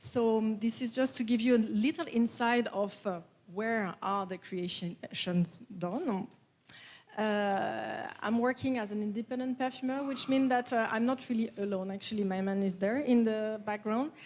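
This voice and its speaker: A woman with a strong French accent speaks at a moderate pace, her fairly high voice showing ordinary pitch variation. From France. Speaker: perfumer. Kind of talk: conference talk. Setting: stage with audience. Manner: hesitant, many fillers.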